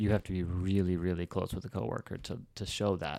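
A man with an American accent speaks in a very deep, low pitch and a dark, mellow tone, dry and close with no echo on a very clean recording with a silent background. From Reno, Nevada, US. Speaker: podcast host. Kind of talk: casual interview chat.

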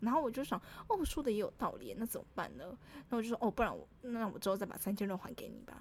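A woman's animated voice at a very fast pace, with big swings in loudness. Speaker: podcast co-host. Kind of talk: casual chat. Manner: animated, laughing often.

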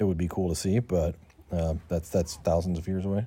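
With a General American accent, a man speaks at a very deep, low pitch in a dark, mellow tone, keeping fairly even intonation and a moderate pace. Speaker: guest interviewee. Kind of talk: casual interview.

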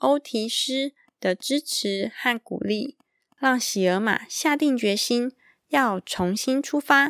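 A woman's high voice at a very slow pace, with ordinary pitch variation, a dry, close sound with no echo and a very clean recording with a silent background. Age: 30s. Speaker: podcast host. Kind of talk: children's picture book podcast. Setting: recording at home at night. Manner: animated.

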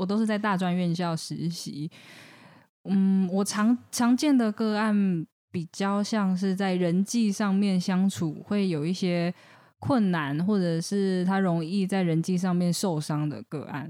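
A woman with a medium pitch and a dark, mellow tone speaks at a very slow pace. The recording is very clean, with a silent background. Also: ordinary pitch variation. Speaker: counseling psychologist. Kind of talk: casual chat.

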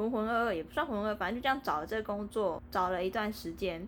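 A woman's medium-pitched voice with ordinary pitch variation, an unremarkable speaking voice. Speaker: podcast co-host. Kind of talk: casual chat.

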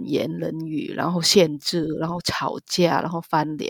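Recorded dry and close with no echo, a woman with a fairly low pitch speaks with vocal fry. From Vietnam, Ho Chi Minh City. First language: Vietnamese (speaking Chinese). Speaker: marriage immigrant and migrant rights advocate. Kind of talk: interview, personal testimony.

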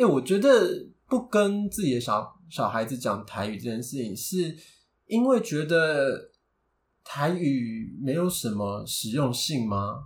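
Speaking at a very slow pace with a Taiwanese accent, a man uses a fairly high pitch. His voice is somewhat breathy, and his pitch swings are very wide. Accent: Taiwanese Mandarin. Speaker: podcast co-host. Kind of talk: casual chat.

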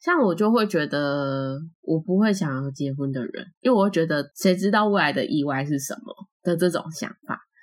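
Her fairly low-pitched voice is an unremarkable speaking voice, and the woman moves at a moderate pace with lively intonation. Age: 20s. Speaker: podcast co-host. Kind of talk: casual chat.

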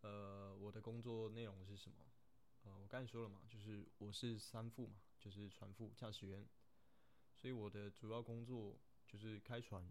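A man with a fairly low pitch speaks at a moderate pace in a monotone, flat intonation, with audible room echo around him. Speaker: third officer on a container ship. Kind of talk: casual Q&A monologue. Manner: hesitant, many fillers.

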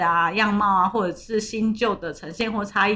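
This woman's voice is pitched fairly high. It has a bright, sharp tone. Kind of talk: casual chat. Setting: remote recording, different places.

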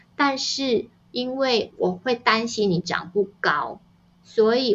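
Her pitch shifts in an ordinary way as the woman talks. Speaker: novelist and parenting author. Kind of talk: interview conversation. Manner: gentle and even-paced.

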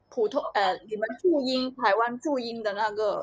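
A woman speaks with a Hong Kong accent. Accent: Hong Kong, lazy Cantonese pronunciation. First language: Cantonese (speaking Chinese). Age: young. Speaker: podcast co-host. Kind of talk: casual chat.

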